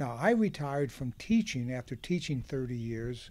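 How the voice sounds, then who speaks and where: On a very clean recording with a silent background, a man with a US Midwestern accent speaks at a moderate pace in a dark, mellow tone with ordinary pitch variation. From Ohio, Hamilton County (Cincinnati area). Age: 70s. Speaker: farmer. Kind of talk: oral history interview. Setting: outdoors on a back porch.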